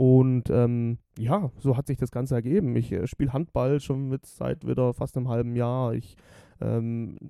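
A man of medium pitch with a dark, mellow tone speaks in fairly even intonation, recorded with a dry, close sound and no echo. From Germany, Stuttgart area (Swabia). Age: 20s. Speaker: podcast co-host. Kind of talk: casual chat.

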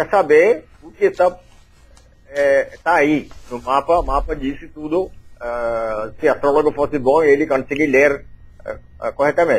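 This man has a fairly high pitch and ordinary pitch variation, speaking at a fairly slow pace. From India, Kerala. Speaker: astrologer. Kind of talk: interview. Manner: halting.

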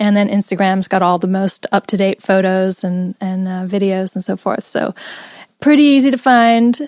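A woman with an American accent has a plain, everyday voice, speaking at a medium pitch and a moderate pace with ordinary pitch variation in a dry, close sound with no echo. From Los Angeles, US. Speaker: professional mermaid performer. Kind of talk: casual interview chat.

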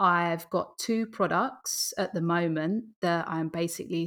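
A woman with an Essex accent speaks at a fairly low pitch and a fairly slow pace. Her pitch varies in an ordinary way, and the recording is very clean with a silent background. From Essex, England. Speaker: Amazon seller. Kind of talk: casual interview chat.

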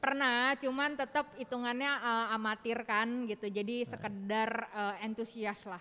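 Fairly high in pitch and bright, sharp in tone, a woman talks at a fairly slow pace with fairly even intonation and hardly any pauses. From Indonesia. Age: 30s. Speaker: doctor. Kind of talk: interview. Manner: halting.

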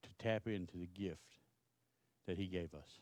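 Here a man speaks in a Texan accent. His pace is fairly slow and his intonation fairly even. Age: 60s. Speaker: pastor. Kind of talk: sermon.

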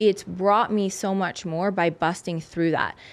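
With an American accent, a woman speaks in an ordinary speaking voice at a medium pitch, with ordinary pitch variation and a fairly slow pace, over a quiet background. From US South, South Louisiana. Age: 40s. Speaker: holistic nutritionist and former fitness competitor. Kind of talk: interview conversation. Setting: studio.

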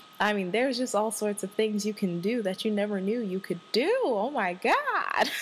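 With an animated tone, a woman speaks at a fairly high pitch and a fairly slow pace over noticeable background noise. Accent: American. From Washington, D.C. area. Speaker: podcast host. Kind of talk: casual solo monologue. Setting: home recording. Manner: animated, laughing often.

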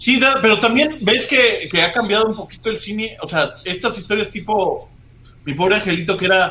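A raised, projected voice in a Mexican accent, with ordinary pitch variation and a moderate pace. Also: man, high pitch for a man. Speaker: podcast host and comedian. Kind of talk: casual chat. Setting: live stream.

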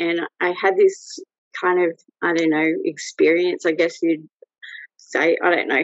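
With long, frequent pauses, a woman in an Australian accent speaks at a fairly slow pace. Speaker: photographer. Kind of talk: casual interview.

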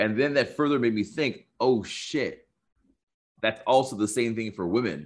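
Moving at a fairly quick pace with lively intonation, this is a plain, everyday voice. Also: man. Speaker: social skills coach and dating expert. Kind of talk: casual interview chat.

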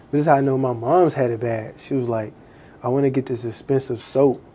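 A man speaks at a fairly quick pace in a medium pitch. His tone is dark and mellow, with fairly even intonation. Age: 20s. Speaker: podcast host. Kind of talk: casual chat.

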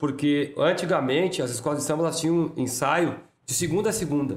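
Speaking fairly quickly, a man uses a fairly high pitch with ordinary pitch variation in an unremarkable speaking voice. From Porto Alegre, southern Brazil. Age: 50s. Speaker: samba school president. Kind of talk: casual interview.

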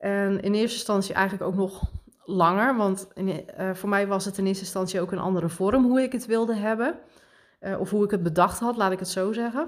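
At a fairly quick pace, a woman uses an ordinary speaking voice at medium pitch with ordinary pitch variation. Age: 30s. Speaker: podcast host and spiritual coach. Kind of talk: casual monologue.

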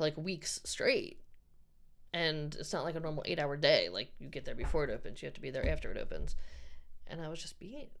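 A woman with an American accent speaks at a fairly quick pace. Her loudness swings widely, and there is audible room echo. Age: 30s. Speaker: friend of a skate crew. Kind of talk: casual chat.

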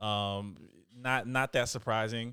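In a normal speaking voice, a man with an American accent talks at a fairly slow pace, medium pitch and fairly even intonation, on a very clean recording with a silent background. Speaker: podcast host. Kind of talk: interview.

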